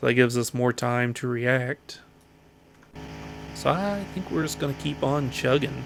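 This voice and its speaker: Amid noticeable background noise, a man with an American accent speaks at a fairly slow pace with lively intonation and long, frequent pauses. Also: medium pitch for a man. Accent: slight Southern accent, consciously reduced. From US South, Appalachian foothills. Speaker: gaming YouTuber. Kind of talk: let's play commentary.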